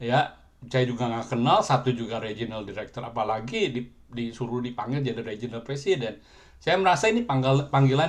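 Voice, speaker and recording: With a medium pitch, a man's voice moves along at a fairly quick pace. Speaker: businessman, ministry chapter president. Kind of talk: testimony. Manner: halting.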